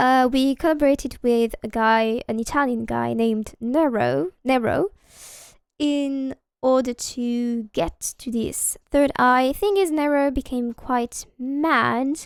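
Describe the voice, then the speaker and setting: At a very slow pace and with ordinary pitch variation, the voice comes through a very clean recording, silent background, its sound dry and close with no echo. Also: woman, high pitch for a woman. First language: not English. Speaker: video game streamer. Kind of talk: live gameplay stream chat. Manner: casual with many filler hesitations.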